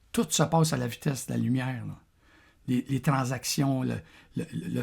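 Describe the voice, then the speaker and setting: A man with a Quebec accent speaks at a moderate pace. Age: 60s. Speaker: vlogger. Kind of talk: casual monologue. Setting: café. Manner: halting, many repetitions.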